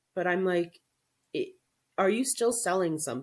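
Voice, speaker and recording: On a very clean recording with a silent background, a woman with a normal speaking voice talks at a medium pitch with lively intonation. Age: 40s. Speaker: social media coach. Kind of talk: interview.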